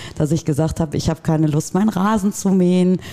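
A woman's fairly low voice against noticeable background noise. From Dortmund, Germany. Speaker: practice manager. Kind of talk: casual interview.

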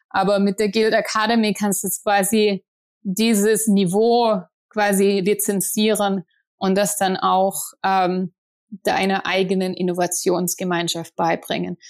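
Recorded very cleanly against a silent background, a woman speaks at a fairly slow pace in a medium pitch, her intonation monotone and flat and her loudness very even. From southern Germany, near Stuttgart. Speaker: entrepreneur. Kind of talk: interview.

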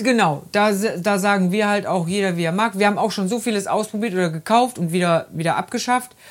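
Here is a woman with an unremarkable speaking voice at medium pitch. She shows ordinary pitch variation and hardly any pauses. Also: fairly quick pace. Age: 50s. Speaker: podcast host, caretaker. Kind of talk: casual chat. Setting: in a caravan.

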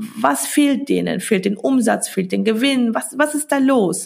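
A woman's fairly high-pitched voice with vocal fry, at a fairly slow pace. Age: 30s. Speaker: biochemist and stock investing educator. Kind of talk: podcast interview.

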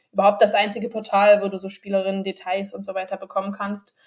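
A woman with a mid-range pitch rattles through her words very fast. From northern Germany, Bremen. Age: 20s. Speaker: women's football player. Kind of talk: podcast interview. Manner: hesitant with many fillers.

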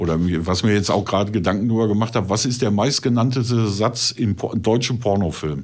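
In a very clean recording with a silent background, a man talks at a fairly quick pace and a fairly low pitch with ordinary pitch variation. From Ruhr area, Germany. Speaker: adult film performer. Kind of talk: casual chat.

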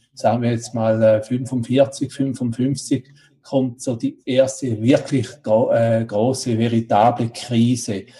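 Somewhat breathy and dark, mellow in tone, a man speaks at a medium pitch with monotone, flat intonation. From Switzerland. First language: Swiss German (speaking German). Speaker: congress interviewer. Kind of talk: interview. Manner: halting, many fillers.

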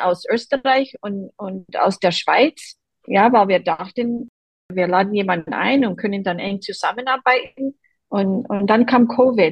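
A woman speaks with an American accent at a fairly high pitch. Her voice is somewhat breathy. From Boston, US East Coast. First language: English (speaking German). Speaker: quilter, quilt group member. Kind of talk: interview.

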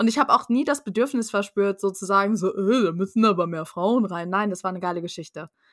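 Animated and fairly quick, a woman speaks at a medium pitch with ordinary pitch variation. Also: very clean recording, silent background. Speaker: podcast guest, fan. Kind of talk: casual chat.

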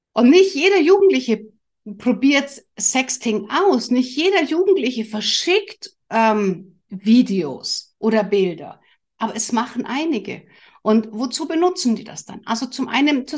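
Against a quiet background, the speaker talks at a fairly slow pace with very wide pitch swings and big swings in loudness. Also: woman. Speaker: family coach and podcast host. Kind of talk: solo podcast monologue. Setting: studio with camera and microphone.

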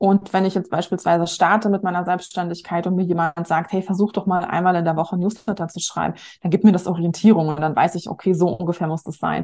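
At a fairly quick pace, a woman speaks with a medium pitch against a quiet background. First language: not German, learned German at eight (speaking German). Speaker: marketing coach and author. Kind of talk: casual interview.

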